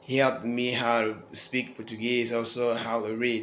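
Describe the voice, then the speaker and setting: A man's fairly slow, monotone, flat delivery amid noticeable background noise. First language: local African dialect. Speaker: language learner vlogger. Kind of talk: casual monologue. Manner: halting.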